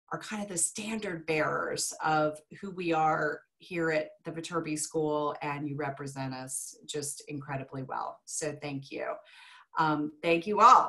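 A woman's very deep, low voice with a bright, sharp tone, ordinary pitch variation, a fairly slow pace and big swings in loudness. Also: quiet background. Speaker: professor presenting workshop. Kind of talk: lecture. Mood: warm, grateful. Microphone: video call.

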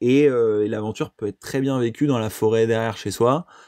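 At a moderate pace, a man of medium pitch speaks in a dark, mellow tone with ordinary pitch variation, the sound dry and close with no echo. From France, Brittany (Lorient). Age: 30s. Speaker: eco-adventurer. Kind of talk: interview. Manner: hesitant with many fillers.

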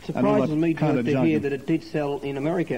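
Against loud background noise, a man with a fairly high pitch talks at a very fast pace. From Australia. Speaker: radio presenter and record reviewer. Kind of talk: radio record review panel comment. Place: studio. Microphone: old recording.

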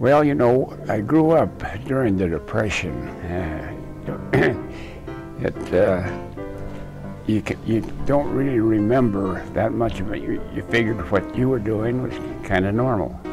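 A man's speech broken by long, frequent pauses, with clear music in the background. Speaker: retired engineer. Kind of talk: interview answer. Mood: relaxed reminiscing. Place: home room. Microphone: lapel.

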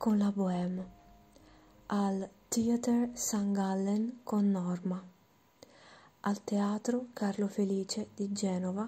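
A soft-spoken woman whispers at a very slow pace, somewhat breathy and at very even loudness. She leaves long pauses often. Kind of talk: ASMR whispered reading of a biography. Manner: whispered, soft, slow, relaxing.

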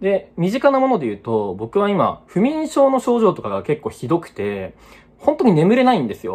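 Very wide pitch swings in a male voice. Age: 20s. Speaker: unemployed vlogger; vlogger. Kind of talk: personal vlog monologue. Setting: at home. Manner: halting, many fillers. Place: home room. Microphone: phone near.

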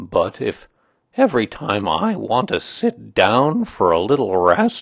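In a put-on character voice, the speaker talks slowly with very wide pitch swings, vocal fry and a slightly husky edge.

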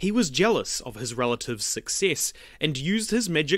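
A reading voice, unforced

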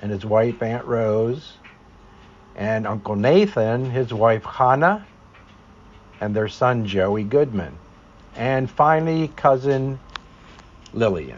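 A man with an American accent, medium-pitched, very slow, with ordinary pitch variation. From Philadelphia. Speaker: family historian narrating his own video. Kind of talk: scripted narration of a personal memoir.

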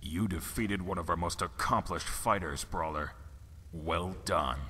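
A man does a put-on character voice, pitched very deep and low. Clear background noise runs underneath. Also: moderate pace. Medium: video game. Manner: businesslike.

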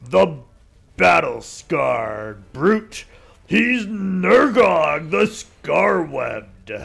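A put-on character voice speaks at a very slow pace. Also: man, high pitch for a man. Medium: game stream. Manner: contemptuous, bloodthirsty, theatrical.

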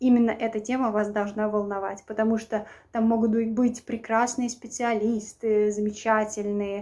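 A woman's dark, mellow tone at a moderate pace, with monotone, flat intonation. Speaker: vlogger. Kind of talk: casual vlog advice. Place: home room. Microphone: phone near.

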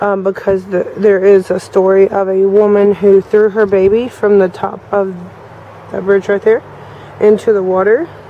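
Over light background noise, a woman talks at a moderate pace in a monotone, flat way, the sound dry with no echo. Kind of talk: casual vlog narration. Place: waterside. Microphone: phone near.

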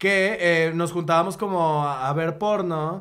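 A man speaks at a very slow pace. There is audible room echo. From Monterrey, Mexico. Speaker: graphic designer and comedian. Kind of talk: casual chat.

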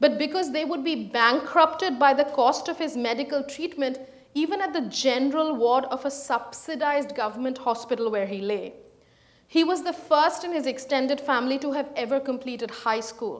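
A woman talks at a moderate pace in a high pitch. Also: ordinary pitch variation. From India, Calcutta; India. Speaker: historian; guest lecturer. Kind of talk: lecture. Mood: serious, earnest. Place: hall.

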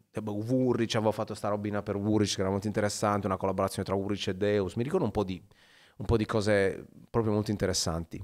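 Over a quiet background, a man rattles along at a very fast pace, his fairly low voice monotone and flat. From Sardinia, Macomer; Sardinia, Italy. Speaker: photographer and teacher; teacher. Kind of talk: casual interview chat. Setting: studio. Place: studio. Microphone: studio mic.

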